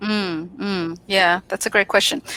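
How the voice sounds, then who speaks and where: A woman with an Australian accent speaks at a medium pitch in a dry, close sound with no echo, with noticeable background noise present. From Australia, Sydney. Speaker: public speaking coach. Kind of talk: interview.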